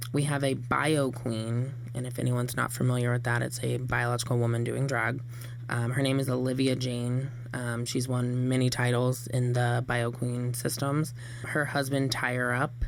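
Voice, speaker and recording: The voice has a monotone, flat intonation and a moderate pace. Noticeable background noise and audible room echo are present. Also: man, medium pitch for a man. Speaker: drag performer. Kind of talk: radio interview. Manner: loud.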